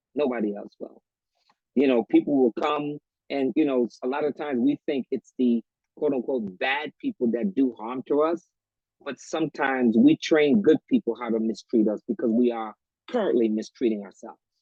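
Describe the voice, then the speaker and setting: Speaking at a moderate pace, a man has an unremarkable speaking voice with medium pitch and ordinary pitch variation. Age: 60s. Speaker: author and retired educator. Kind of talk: talk show interview.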